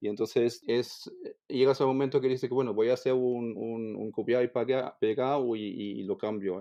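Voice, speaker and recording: A man with a German accent speaks at a moderate pace, his medium pitch carrying fairly even intonation. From Germany. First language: German (speaking Spanish). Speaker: language teacher. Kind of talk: interview. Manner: halting, with frequent repetitions.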